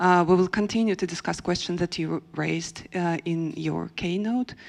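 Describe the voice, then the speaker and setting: A woman speaks in a Russian accent with a fairly low pitch. Her pitch varies in an ordinary way. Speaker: panel moderator, theatre researcher. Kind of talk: panel moderation. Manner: halting, many fillers.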